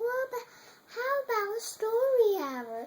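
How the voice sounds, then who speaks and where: A squeaky, put-on character voice. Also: woman, extremely high pitch for a woman, moderate pace, ordinary pitch variation. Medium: read story. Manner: sweet.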